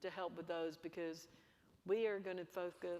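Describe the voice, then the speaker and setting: In an Alabama accent, a woman speaks at a moderate pace. Her pitch is fairly low. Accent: Alabama Southern US. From US South, Bessemer, Alabama. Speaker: energy company executive. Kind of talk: panel interview.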